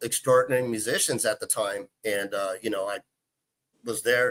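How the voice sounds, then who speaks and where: With a Texan accent, a man speaks at a moderate pace in a bright, sharp tone, his pitch varying in an ordinary way, and the sound is dry and close with no echo. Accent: Texan American English. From Texas, Houston. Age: 40s. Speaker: guitarist. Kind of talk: casual chat.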